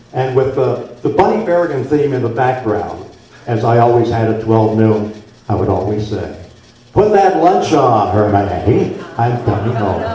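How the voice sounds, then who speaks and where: Amid noticeable background noise and audible room echo, a man with an American accent speaks at a moderate pace with a medium pitch and ordinary pitch variation. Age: 70s. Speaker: former radio host. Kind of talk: after-dinner speech. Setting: banquet room with audience.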